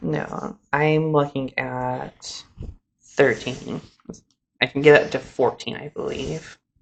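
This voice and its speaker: Very slow, mumbling speech. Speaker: magic card game video host. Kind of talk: casual gameplay chat. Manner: mumbling while counting.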